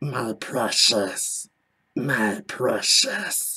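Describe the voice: A raspy, put-on character voice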